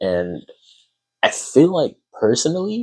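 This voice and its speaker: Here a man speaks at a fairly slow pace. The recording is very clean, with a silent background. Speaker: artist drawing while talking. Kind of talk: casual talk while drawing. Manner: quiet; halting.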